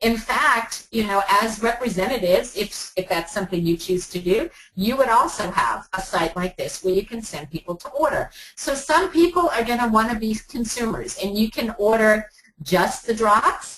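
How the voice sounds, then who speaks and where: An animated woman at fairly high pitch, moderately paced, with lively intonation. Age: 60s. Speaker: sales presenter. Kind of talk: sales pitch. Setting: webinar.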